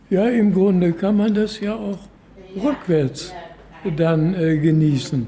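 Over noticeable background noise, a man with high pitch and ordinary pitch variation speaks at a very slow pace. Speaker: care home resident. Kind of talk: interview.

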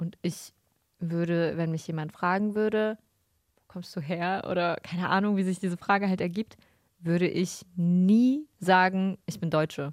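A woman with an unremarkable speaking voice talks at a medium pitch with fairly even intonation, the recording very clean with a silent background and the sound dry and close with no echo. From Germany. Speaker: podcast co-host. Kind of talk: casual chat.

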